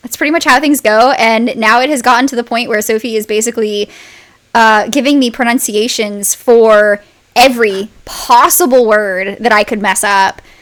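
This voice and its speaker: Using an unremarkable speaking voice, a woman with a fairly high pitch talks at a moderate pace with ordinary pitch variation. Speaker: podcast narrator and co-host. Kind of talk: casual behind-the-scenes chat.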